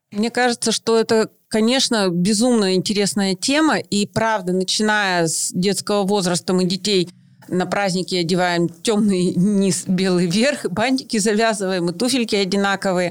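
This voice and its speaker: A woman speaks at a moderate pace in a plain, everyday voice of medium pitch, her loudness very even, on a very clean recording with a silent background. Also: ordinary pitch variation. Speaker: mother, podcast co-host. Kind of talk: casual chat.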